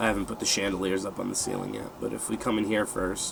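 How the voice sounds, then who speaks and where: The voice has a relaxed tone. Noticeable background noise sits behind it. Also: man. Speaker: gaming video creator. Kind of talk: gameplay walkthrough commentary. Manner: hesitant, many fillers.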